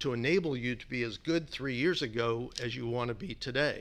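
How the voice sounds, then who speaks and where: This very clean recording with a silent background captures a man with an ordinary speaking voice, medium pitch and ordinary pitch variation. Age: 60s. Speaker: business executive. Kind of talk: interview.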